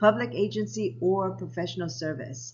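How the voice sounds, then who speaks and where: This woman has a very deep, low pitch with very wide pitch swings. Audible room echo surrounds her voice. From Japan, US military family, then Hawaii. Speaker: lifestyle vlogger. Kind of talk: personal storytelling vlog.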